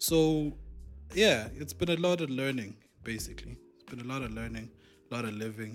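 Over music in the background, the speech moves at a moderate pace with long, frequent pauses and big swings in loudness. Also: man. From South Africa, Durban. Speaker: podcast co-host. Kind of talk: casual chat.

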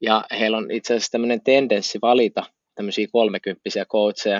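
A man's voice in a monotone, flat intonation. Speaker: podcast co-host. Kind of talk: casual chat.

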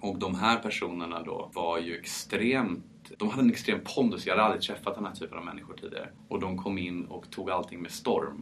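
A man with a French accent, fairly low-pitched, at a fairly quick pace with hardly any pauses and ordinary pitch variation. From France, Paris. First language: French (speaking Swedish). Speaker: champagne producer. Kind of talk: interview.

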